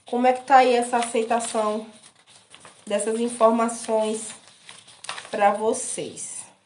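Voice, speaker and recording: In a room with audible echo, a woman speaks very slowly in a fairly high, monotone, flat voice with long, frequent pauses. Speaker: sewing and pattern-making teacher. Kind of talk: live-streamed class. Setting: live stream on social media.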